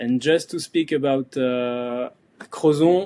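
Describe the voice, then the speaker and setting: With a French accent, a man speaks at a fairly slow pace in a fairly high pitch. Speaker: surfboard core maker and event organizer. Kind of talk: podcast interview. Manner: hesitant, many fillers.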